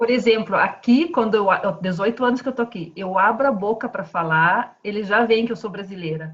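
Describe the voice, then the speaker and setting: A woman speaks at a fairly high pitch with ordinary pitch variation and a somewhat breathy voice. Her pace is moderate, with hardly any pauses. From southern Brazil, Paraná. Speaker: civil engineer. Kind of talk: video call interview.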